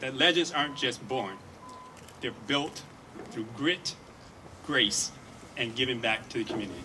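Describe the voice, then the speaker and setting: A man with a medium pitch and lively intonation speaks at a moderate pace over noticeable background noise. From Detroit, Michigan. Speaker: hospital executive. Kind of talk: ceremonial speech.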